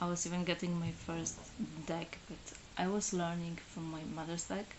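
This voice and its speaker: With a Polish accent, a woman speaks at a moderate pace in a monotone, flat intonation and a fairly low pitch, amid noticeable background noise and audible room echo. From Poland. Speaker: tarot reader. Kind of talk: live stream monologue. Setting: solo live stream. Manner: halting, many fillers.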